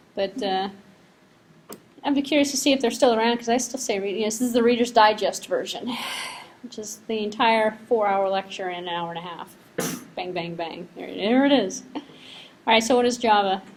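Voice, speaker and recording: A woman with an American accent speaks at a fairly high pitch with ordinary pitch variation and big swings in loudness. She leaves long, frequent pauses, and there is noticeable background noise. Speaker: university lecturer. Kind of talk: lecture. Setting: classroom. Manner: fast; casual, conversational.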